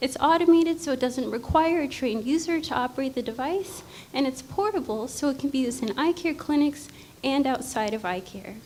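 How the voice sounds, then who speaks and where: Over noticeable background noise, a woman with a high pitch speaks at a fairly quick pace with lively intonation. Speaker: startup founder pitching. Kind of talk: pitch presentation.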